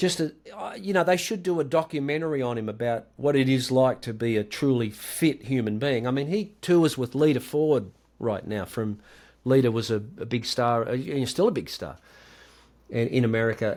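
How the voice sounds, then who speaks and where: A man speaks in an Australian accent at a medium pitch and a moderate pace. His intonation is lively, and the recording is very clean with a silent background. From Australia, rural Victoria. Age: 60s. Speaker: guitarist. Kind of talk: podcast interview.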